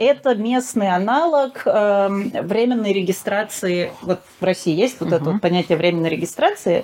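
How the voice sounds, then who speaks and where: A woman's voice has a dark, mellow tone. Her intonation is lively. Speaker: relocated expat. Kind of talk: interview.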